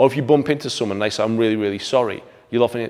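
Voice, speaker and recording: This is a man speaking. He has an English accent. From England. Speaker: martial arts instructor. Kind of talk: video commentary.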